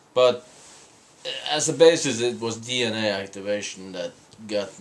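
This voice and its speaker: Clear background noise runs under a man who speaks somewhat slowly. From Norway, small island. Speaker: spiritual couple vlogger. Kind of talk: casual chat. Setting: hotel room in London. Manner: halting, many fillers and repeats.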